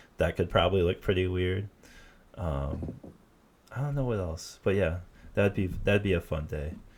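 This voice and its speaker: Somewhat breathy speech in a Michigan accent comes with long, frequent pauses. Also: man, very deep, low pitch for a man, ordinary pitch variation, moderate pace. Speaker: podcast host. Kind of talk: casual chat. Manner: halting, many fillers and repeats.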